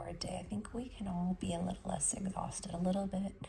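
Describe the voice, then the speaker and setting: Against noticeable background noise, the speech moves at a fairly quick pace. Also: woman. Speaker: life coach. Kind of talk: casual podcast monologue.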